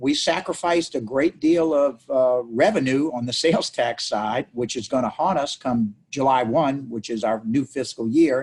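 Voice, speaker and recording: The speaker has a New Orleans accent, talking at a moderate pace with ordinary pitch variation and hardly any pauses. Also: man, medium pitch for a man. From New Orleans, Louisiana. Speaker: city council member. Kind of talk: interview. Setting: video call.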